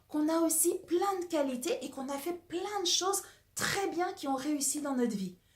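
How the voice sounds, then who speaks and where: Whispering and soft-spoken, a woman talks at a moderate pace. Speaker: personal development coach. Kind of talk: casual talk to camera about a book. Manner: partly whispered, soft.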